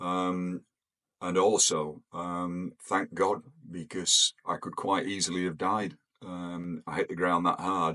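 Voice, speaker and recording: A man with an English accent speaks very slowly at a very deep, low pitch. His tone is bright and sharp, and his intonation is monotone and flat. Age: 70s. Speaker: retired pilot. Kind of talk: personal storytelling. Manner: hesitant, many fillers.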